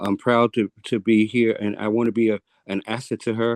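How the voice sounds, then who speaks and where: A man speaks at a medium pitch in a monotone, flat intonation. The sound is dry and close, with no echo. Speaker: public commenter, Marine veteran and EMT. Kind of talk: public comment at hearing. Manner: fast; halting, repeats words.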